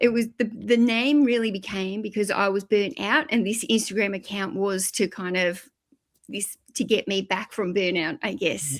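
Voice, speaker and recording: A woman talks with an Australian accent at a moderate pace. Her pitch is medium, with ordinary pitch variation. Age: 50s. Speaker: YouTuber and eBay reseller. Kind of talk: podcast interview.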